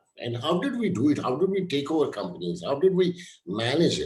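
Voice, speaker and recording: With very wide pitch swings, the voice moves at a moderate pace amid audible room echo. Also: man. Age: 60s. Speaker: HR coach and mentor, show host. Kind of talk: live-streamed interview.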